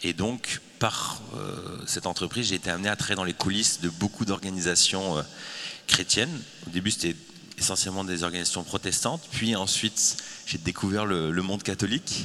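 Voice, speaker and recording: A man talks with a very deep, low pitch. Noticeable background noise runs behind him. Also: ordinary pitch variation, moderate pace. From France. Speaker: communication agency founder. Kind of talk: panel discussion.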